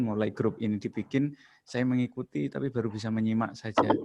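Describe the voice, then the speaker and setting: Speaking at a very fast pace, a man has a strong East Javanese accent. His intonation stays fairly even. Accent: thick Javanese (East Java). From East Java, Ponorogo. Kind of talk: casual religious comment in group video call. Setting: video call, camera off. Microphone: laptop.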